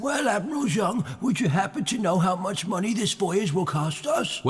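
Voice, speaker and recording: High pitch, moderate pace, and a put-on character voice from a man. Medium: fan dub. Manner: needling, skeptical.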